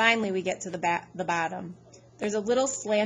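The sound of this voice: The voice is an unforced reading voice. Its pitch variation is ordinary.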